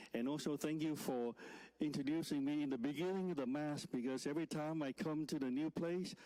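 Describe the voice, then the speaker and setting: A man with a Vietnamese accent speaks at a moderate pace in a fairly high pitch, with a dark, mellow tone and very even loudness. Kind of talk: sermon. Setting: church. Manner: halting.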